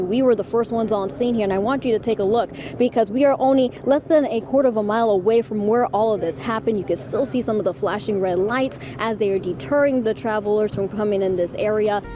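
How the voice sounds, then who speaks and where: A woman talks at a very fast pace with lively intonation and hardly any pauses. Noticeable background noise is present. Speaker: television journalist, reporter and fill-in news anchor. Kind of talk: broadcast news reporting and anchoring.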